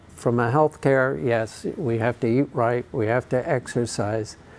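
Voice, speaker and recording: Fairly slow, fairly even intonation, in an unremarkable speaking voice. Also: man. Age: 60s. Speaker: charity cyclist and fundraiser. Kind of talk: interview.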